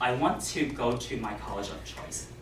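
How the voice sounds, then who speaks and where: A man talks at a fairly slow speed, with noticeable background noise and audible echo from the room. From USA. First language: non-English (family language). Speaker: Toastmasters club speaker. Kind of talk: prepared speech.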